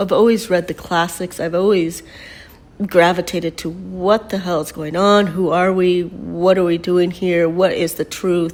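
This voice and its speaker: Fairly low in pitch, a woman talks at a fairly slow pace in a monotone, flat intonation. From Mexico until age nine, then United States. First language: Spanish. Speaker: painter and spiritual teacher. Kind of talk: personal storytelling monologue. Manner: casual, with many fillers.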